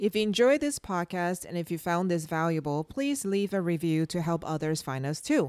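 A woman with a fairly low pitch speaks at a moderate pace with lively intonation, in a very clean recording with a silent background and a dry, close sound with no echo. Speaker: podcast co-host, homeschooling mother. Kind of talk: casual conversation. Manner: intense.

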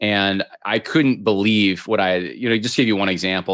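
Against a quiet background, a man with an American accent and a normal speaking voice talks in a fairly low pitch with fairly even intonation. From upstate New York. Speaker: podcast host and political commentator. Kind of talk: interview conversation.

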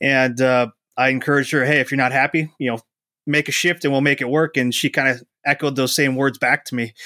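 A man with an American accent, medium pitch and a bright, sharp tone, at a fairly quick pace with monotone, flat intonation, on a very clean, dry, close recording with a silent background and no echo. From Wisconsin. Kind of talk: podcast interview.

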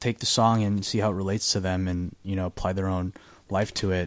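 A man with a normal speaking voice, fairly low in pitch, comes through on a very clean recording with a silent background. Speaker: singer-songwriter. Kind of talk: casual chat. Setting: studio.

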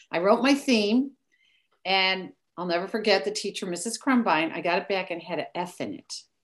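A woman with an American accent talks at a medium pitch and a moderate pace, her intonation lively against a quiet background. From US Midwest, Chicago area. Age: 60s. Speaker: author. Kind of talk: casual interview. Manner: animated.

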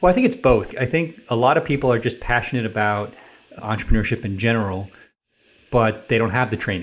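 Speaking very fast with an American accent, a man keeps a medium pitch and ordinary pitch variation. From New York City area. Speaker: tech company founder and CEO. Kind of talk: radio interview. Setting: radio studio.

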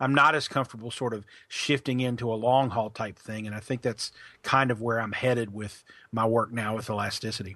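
Against a quiet background, a man talks at a medium pitch with a bright, sharp tone and fairly even intonation. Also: fairly quick pace. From eastern Kentucky (Pikeville). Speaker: marketing consultant. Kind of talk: podcast interview.

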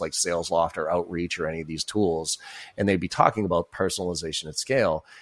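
A man at a very fast pace. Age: 40s. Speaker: sales coach and keynote speaker. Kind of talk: casual interview.

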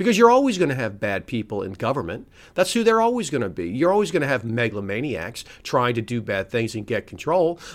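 Speaking at a fairly quick pace in an angry tone, a man with an American accent makes very wide pitch swings on a very clean recording with a silent background. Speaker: lawyer and podcast host. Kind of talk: angry rant. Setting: solo show. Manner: angry, profane, emphatic; despondent, cynical.

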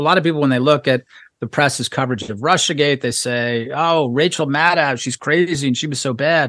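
Speaking at a fairly quick pace, a man with an American accent has a fairly high pitch and ordinary pitch variation. The sound is dry and close with no echo, over a quiet background. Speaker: journalist and author. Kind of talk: interview.

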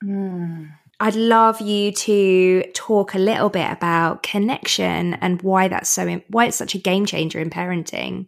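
A woman's medium-pitched voice with a British accent, fairly slow and with hardly any pauses, fairly even in intonation, on a very clean recording with a silent background. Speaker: podcast host and producer. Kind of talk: casual interview chat. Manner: chatty, rambly, informal.

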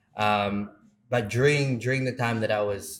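Backed by music, a man speaks at a moderate tempo. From South Africa, Cape Town township. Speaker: surf coach and youth charity founder. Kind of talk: interview.

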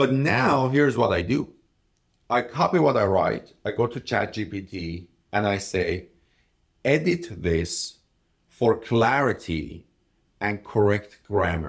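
In a very clean recording with a silent background, a man with a non-native accent talks at medium pitch with lively intonation. He speaks at a very slow pace, with long, frequent pauses. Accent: foreign-accented English. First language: not English. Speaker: podcast co-host, entrepreneur. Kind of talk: casual conversational discussion. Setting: recorded on location at an event. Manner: halting, many fillers and restarts.

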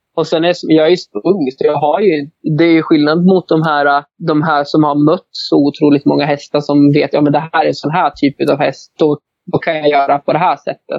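A man's fairly high voice at a moderate pace, in a monotone, flat intonation. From Sweden, Hälsingland. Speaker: horse breeder. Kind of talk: interview.

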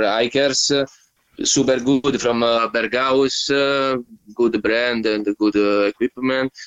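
A man in an Italian accent speaks with fairly even intonation. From Italy. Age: 30s. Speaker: touring cyclist. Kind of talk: casual interview chat. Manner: halting, many fillers.

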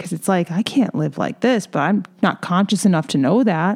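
At a moderate pace, a woman with a medium pitch and vocal fry speaks with very wide pitch swings. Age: 30s. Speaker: podcast host. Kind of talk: solo podcast monologue. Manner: casual, conversational with fillers.

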